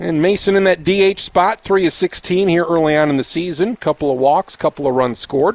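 This man speaks at a fairly quick pace with a high pitch, ordinary pitch variation and very even loudness, in a dry, close sound with no echo and noticeable background noise. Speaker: radio sports play-by-play announcer. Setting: ballpark broadcast booth, live on radio.

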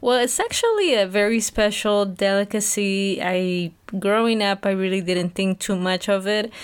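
A woman's flat, monotone delivery with very even loudness and hardly any pauses. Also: medium pitch for a woman, moderate pace. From Peru, Huancayo. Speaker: Spanish-language podcast host. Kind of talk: interview.

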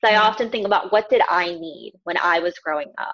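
A woman with a plain, everyday voice, medium pitch, fairly even intonation and moderate pace. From US South, Houston, Texas (born in Pakistan, moved very young). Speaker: counselor and educator. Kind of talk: podcast interview.

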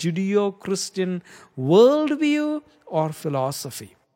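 A high-pitched man with an Indian accent at a very slow pace, on a very clean recording with a silent background. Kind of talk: religious monologue.

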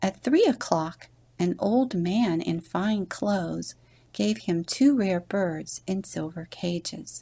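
With lively intonation, the clip carries a natural reading voice.

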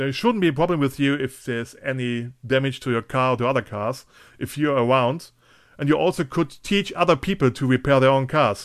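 A man with a German accent talks at a fairly quick pace, medium pitch and ordinary pitch variation, recorded very cleanly against a silent background. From western Germany (Eifel). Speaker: podcast host. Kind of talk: casual interview.

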